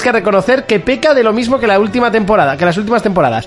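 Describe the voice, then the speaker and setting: With noticeable background noise around him, a high-pitched man talks in lively intonation. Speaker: video game podcast host. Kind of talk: casual chat. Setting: live stream with camera.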